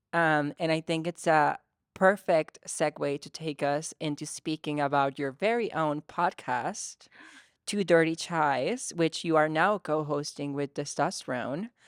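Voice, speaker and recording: Speaking at a fairly slow pace, a woman uses a very deep, low pitch with ordinary pitch variation in a very clean recording with a silent background. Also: dry, close sound with no echo. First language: not English. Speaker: talk show host. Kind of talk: casual interview chat.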